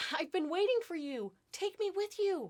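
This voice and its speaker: A squeaky, put-on character voice from a woman, pitched extremely high, at a moderate pace. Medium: read story.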